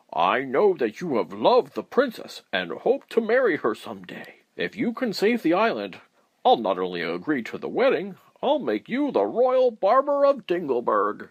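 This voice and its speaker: This man puts on a character voice pitched high. He talks at a moderate pace. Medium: read story. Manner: loud, royal.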